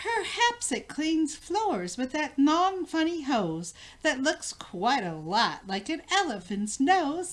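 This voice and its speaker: Using a put-on character voice, a woman speaks high with very wide pitch swings and hardly any pauses. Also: fairly slow pace. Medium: read story. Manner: fussy, motherly.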